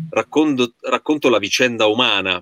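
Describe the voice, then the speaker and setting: Pitch rises and falls in an ordinary way, and the sound is dry and close with no echo. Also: man. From Certosa di Pavia, Lombardy, Italy. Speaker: stage actor. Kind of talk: video call panel chat. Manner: halting, repetitive.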